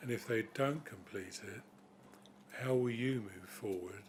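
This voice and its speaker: A man mumbles in a British accent at a fairly slow pace. His pitch is medium. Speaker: councillor. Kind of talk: committee meeting questions. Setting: council committee meeting. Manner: mumbling.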